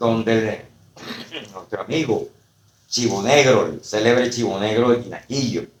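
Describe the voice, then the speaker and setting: A medium-pitched voice belongs to the man speaking. The pitch moves in an ordinary way. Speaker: poet and university professor. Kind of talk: casual interview chat. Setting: podcast recorded on camera. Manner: hesitant, many fillers.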